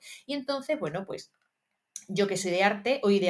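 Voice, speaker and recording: A woman talks fairly quickly, her pitch swinging very widely. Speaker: history teacher and exam-prep youtuber. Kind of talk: study tutorial. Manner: fast; casual, many fillers.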